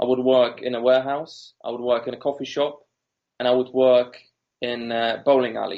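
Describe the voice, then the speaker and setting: With a Polish accent, a man talks in a monotone, flat intonation. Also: medium pitch for a man, moderate pace. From Poland. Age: 30s. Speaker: entrepreneur. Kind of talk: interview.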